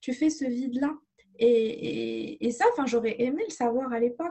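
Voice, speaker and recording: Lively intonation marks a woman's high-pitched voice at a fairly slow pace. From Morocco, Casablanca. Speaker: holistic therapist. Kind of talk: interview. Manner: halting.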